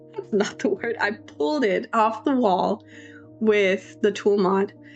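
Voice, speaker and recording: Music plays in the background. The woman talking has a medium-pitched voice. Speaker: Sims builder, YouTuber. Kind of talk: casual voiceover commentary.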